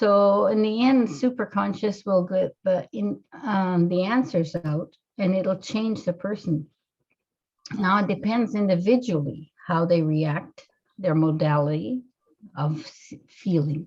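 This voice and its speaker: Her dark, mellow tone somewhat breathy, a woman at medium pitch speaks at a fairly slow pace with lively intonation. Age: 60s. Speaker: hypnotherapist. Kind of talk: interview. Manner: halting.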